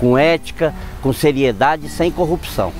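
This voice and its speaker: A man with a fairly high pitch talks while music plays behind him. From southern Minas Gerais, Brazil (rural interior), then São Paulo from age 13. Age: 50s. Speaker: politician, former mayor and shop owner. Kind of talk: autobiographical testimony.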